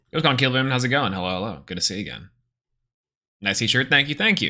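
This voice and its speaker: Man with a medium pitch and lively intonation, music in the background. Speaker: gaming livestreamer. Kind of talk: casual livestream chat.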